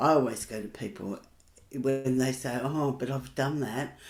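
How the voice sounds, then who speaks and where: Speaking at a fairly slow pace with an Australian accent, a woman uses a very deep, low pitch, a dark, mellow tone and fairly even intonation. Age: 70s. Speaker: workshop facilitator. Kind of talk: casual chat.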